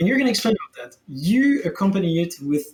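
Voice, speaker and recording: A man with a French accent and very wide pitch swings. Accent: French accent, pronunciation sometimes off. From France. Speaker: game streamer and economy analyst. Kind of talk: casual chat. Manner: halting, repeats words.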